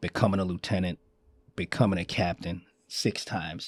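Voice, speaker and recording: A man's dark, mellow voice with a New York accent at a moderate pace, dry and close with no echo. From Queens, New York. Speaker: fire commissioner. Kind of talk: interview answer. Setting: studio.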